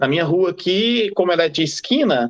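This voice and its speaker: Speaking at a moderate pace, a man with a Brazilian accent uses a high pitch and lively intonation. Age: 40s. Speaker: freemason. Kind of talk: casual interview.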